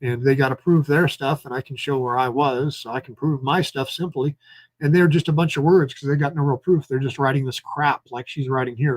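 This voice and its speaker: Breathy in a slight way, a man's fairly high voice moves at a fairly quick pace in a dry, close recording with no echo. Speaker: citizen journalist and political candidate. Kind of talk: live stream commentary. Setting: at home. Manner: animated.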